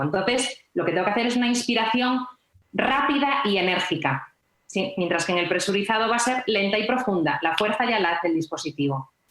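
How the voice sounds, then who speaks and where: Using an unremarkable speaking voice, a woman talks at a fairly quick pace with lively intonation. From Galicia, Spain. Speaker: nurse. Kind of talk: health podcast interview.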